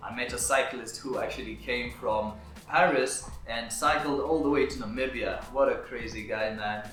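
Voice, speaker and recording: Someone talks at a moderate pace with an East African accent. Music plays in the background and the room echoes audibly. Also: man. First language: Swahili. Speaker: videographer and business owner. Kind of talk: vlog talk to camera.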